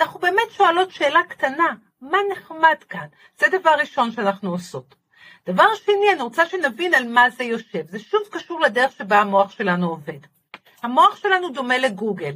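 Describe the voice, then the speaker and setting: A woman's raised, projected voice, high-pitched with very wide pitch swings, a bright, sharp tone, big swings in loudness and a moderate pace. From Israel, Haifa. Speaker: positive thinking lecturer and author. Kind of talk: casual interview.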